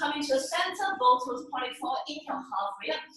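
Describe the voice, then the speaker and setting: A woman talks in a raised, projected voice with a bright, sharp tone and lively intonation. Her pace is fairly quick, and strong room echo surrounds her. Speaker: yoga instructor. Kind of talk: guided yoga class instruction. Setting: home studio, live online class on Zoom. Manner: playful, upbeat, bursts of laughter. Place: home room. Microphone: webcam.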